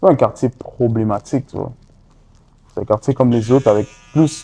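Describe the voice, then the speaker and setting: A man speaks at a moderate pace in a dark, mellow tone with fairly even intonation. His loudness swings widely, with long, frequent pauses and a dry, close sound with no echo. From Montreal, Saint-Michel. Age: 20s. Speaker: rapper. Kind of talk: interview. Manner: casual, halting.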